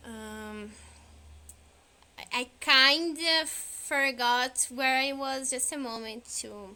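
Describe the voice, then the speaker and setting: A woman with a non-native accent uses a raised, projected voice that is high in pitch and bright and sharp in tone. She goes at a very slow pace, with long, frequent pauses and big swings in loudness. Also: ordinary pitch variation. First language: not English. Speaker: streamer. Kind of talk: casual chat. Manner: halting.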